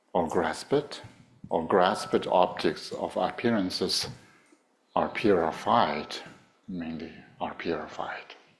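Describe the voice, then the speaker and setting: A man with a Tibetan accent speaks at a very slow pace, leaving long, frequent pauses. His pitch is very deep and low, with ordinary variation. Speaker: Buddhist teacher. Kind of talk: dharma teaching. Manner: halting, many fillers.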